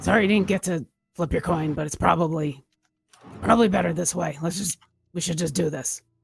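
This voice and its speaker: A put-on character voice, female-sounding and raspy, fairly low in pitch, at a moderate pace with long, frequent pauses. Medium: actual play.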